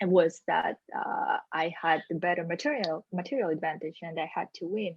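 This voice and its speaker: Speaking with a strong non-native accent, a woman talks at a moderate pace in a fairly low pitch with ordinary pitch variation. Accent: strong foreign. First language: not English. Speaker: sales executive. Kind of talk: interview conversation. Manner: hesitant, many fillers.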